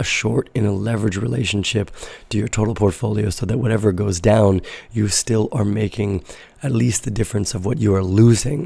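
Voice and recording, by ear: A man's fairly low, raspy voice with a dark, mellow tone, a slightly husky edge, vocal fry, ordinary pitch variation and a moderate pace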